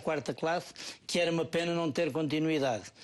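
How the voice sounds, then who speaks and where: A man with a central Portuguese accent speaks at a fairly quick pace against a quiet background. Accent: European Portuguese, Ribatejo. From Portugal, Ribatejo. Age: 50s. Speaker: parish council president. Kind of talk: TV interview.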